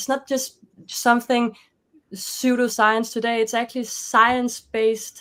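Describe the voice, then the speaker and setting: A high-pitched woman with a Danish accent, fairly slow and monotone with flat intonation. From Denmark. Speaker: life coach and author. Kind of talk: interview conversation. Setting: video call.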